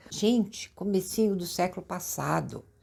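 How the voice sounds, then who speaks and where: There is vocal fry in this woman's medium-pitched voice at a moderate pace. The recording is very clean, with a silent background. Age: 70s. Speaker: lifestyle vlogger. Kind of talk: casual chat. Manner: animated.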